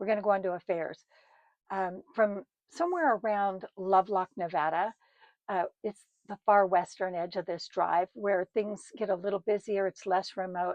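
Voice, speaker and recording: Her intonation stays fairly even and her pace moderate. The woman has a normal speaking voice at medium pitch. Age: 60s. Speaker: storyteller recounting her own life. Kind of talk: personal storytelling monologue. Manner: casual, chatty with fillers.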